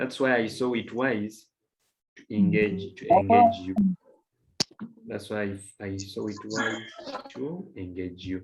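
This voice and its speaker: A man's fairly low-pitched voice at a very slow pace, with long, frequent pauses and ordinary pitch variation. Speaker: chemistry teacher. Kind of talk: lecture. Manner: soft-spoken.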